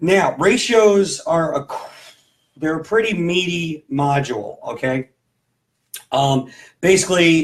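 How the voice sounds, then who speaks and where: A man speaks at a very slow pace. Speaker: sixth grade math teacher. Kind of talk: tutorial. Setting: home. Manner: casual, halting with fillers.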